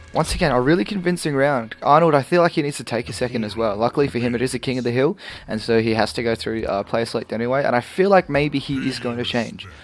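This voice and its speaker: A man at a very fast pace with hardly any pauses, medium pitch and ordinary pitch variation. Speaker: fighting game commentator. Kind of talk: esports play-by-play commentary.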